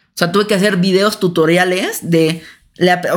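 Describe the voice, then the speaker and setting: A woman with an unremarkable speaking voice talks at a fairly low pitch with ordinary pitch variation, recorded very cleanly against a silent background. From Mexico City. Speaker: podcast co-host. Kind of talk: casual chat.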